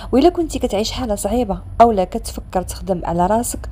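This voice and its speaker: The speech goes at a moderate pace with noticeable background noise underneath. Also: woman. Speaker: storyteller. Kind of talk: story intro to listeners.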